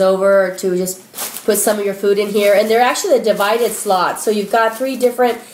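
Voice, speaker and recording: A woman talks at a medium pitch. Noticeable background noise and audible room echo surround her. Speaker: shopping haul vlogger. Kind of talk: casual product haul video. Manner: fast; animated.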